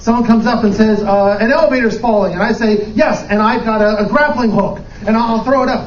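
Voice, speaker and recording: A man with an American accent speaks at a fairly quick pace in an energetic tone, his pitch extremely high, with noticeable background noise behind him. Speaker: improv performer and corporate trainer/speaker. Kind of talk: conference lightning talk, humorous and lively presentation to a live audience. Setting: live stage event with audience. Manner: energetic, jokey, conversational with filler words.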